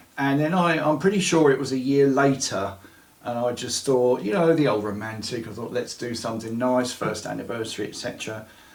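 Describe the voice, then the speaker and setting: A man at medium pitch and a fairly quick pace, ordinary pitch variation, audible room echo, and noticeable background noise. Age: 60s. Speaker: storyteller of paranormal experiences. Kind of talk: interview testimony.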